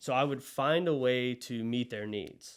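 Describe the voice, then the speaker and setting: Speaking in a Southern US accent, a man has a medium-pitched voice. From US South (Monroe, Louisiana). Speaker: agency co-founder. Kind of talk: podcast interview.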